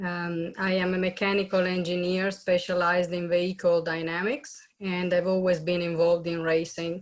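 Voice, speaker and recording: Someone speaks with an Italian accent at a moderate pace. The intonation stays fairly even. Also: woman. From Italy. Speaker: race car driver and motorsport engineer. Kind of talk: panel webinar self-introduction. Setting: video call.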